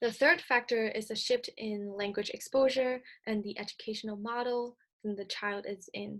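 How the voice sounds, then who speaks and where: A woman talks at a moderate pace with a Cantonese accent. Her pitch is fairly high and her intonation fairly even. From Hong Kong. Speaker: speech-language clinician presenter. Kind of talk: recorded presentation lecture. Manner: some hesitations and self-corrections.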